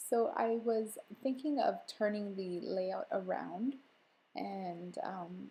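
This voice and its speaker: Very slow and somewhat breathy, a woman's voice has a dark, mellow tone and lively intonation. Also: medium pitch for a woman. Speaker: scrapbooking video creator. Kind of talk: voiceover tutorial narration. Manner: soft, whispery; casual with many fillers.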